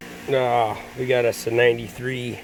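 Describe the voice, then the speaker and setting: A man speaks with music in the background. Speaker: auto mechanic. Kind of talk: casual talk to camera.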